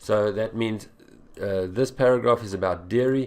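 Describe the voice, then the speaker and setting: At a fairly slow pace, a man talks in an unremarkable speaking voice, fairly low in pitch and fairly even in intonation. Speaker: English exam tutor. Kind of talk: tutorial.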